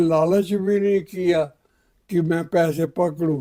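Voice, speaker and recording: The man's voice has a dark, mellow tone at a high pitch. His intonation stays fairly even. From undivided India, later Pakistan. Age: 80s+. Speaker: partition survivor. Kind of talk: interview answer, life story.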